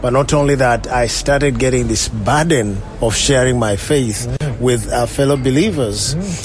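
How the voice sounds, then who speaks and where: Noticeable background noise and audible room echo surround a man speaking at a moderate pace, with a medium pitch and ordinary pitch variation. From Uganda, near Kampala. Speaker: pastor. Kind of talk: interview testimony.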